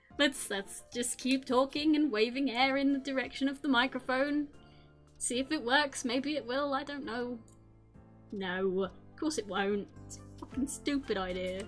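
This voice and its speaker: There is music in the background. A woman speaks with a high pitch. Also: ordinary pitch variation, moderate pace, big swings in loudness. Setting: testing a microphone. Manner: frustrated, exasperated.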